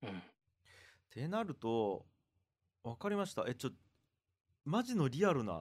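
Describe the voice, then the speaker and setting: A man speaks with very wide pitch swings. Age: 40s. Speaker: podcast host. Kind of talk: casual conversation.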